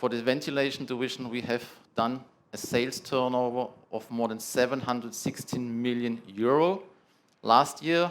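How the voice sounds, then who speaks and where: A man with a strong German accent, medium in pitch, with ordinary pitch variation at a moderate pace. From Germany. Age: 30s. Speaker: product manager presenting at a trade summit. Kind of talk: conference presentation. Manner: halting, with filler sounds.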